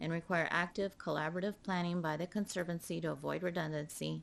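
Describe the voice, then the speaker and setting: Speaking at a very fast pace, a woman has a fairly low voice. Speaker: board chair. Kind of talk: reading aloud. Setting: public board meeting in chamber.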